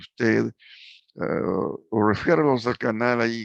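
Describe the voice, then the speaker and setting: A fairly low-pitched man at a very slow pace, fairly even in intonation, against a quiet background. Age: 80s+. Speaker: preacher. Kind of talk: sermon closing and appeal. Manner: halting, many fillers.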